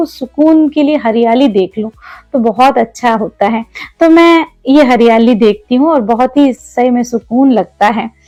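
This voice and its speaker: Over music in the background, a woman with a Malayalam accent speaks at a high pitch with ordinary pitch variation, the sound dry and close with no echo. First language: Malayalam (speaking Hindi). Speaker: homemaker vlogger. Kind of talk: vlog narration and cooking tutorial. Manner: casual, conversational.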